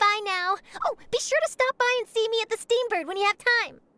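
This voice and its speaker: In a squeaky, put-on character voice at an extremely high pitch, a woman talks at a fairly quick pace with a dry, close sound and no echo. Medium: video game. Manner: bright, chatty.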